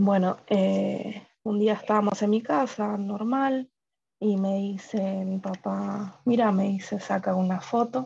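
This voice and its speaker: A woman's somewhat breathy, dark and mellow voice, very slow and fairly even in intonation, over light background noise. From Argentina. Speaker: preschool assistant. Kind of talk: interview. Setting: video call. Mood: reflective, emotional. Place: home room. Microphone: video call.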